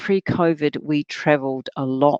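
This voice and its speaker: A woman with a New Zealand accent is heard in a dry, close sound with no echo against a quiet background. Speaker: workshop facilitator. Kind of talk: workshop talk. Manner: halting.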